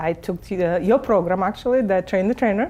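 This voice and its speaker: A woman with a Russian accent speaks in a dark, mellow tone with ordinary pitch variation. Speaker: real estate agent and coach. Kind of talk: interview. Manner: halting.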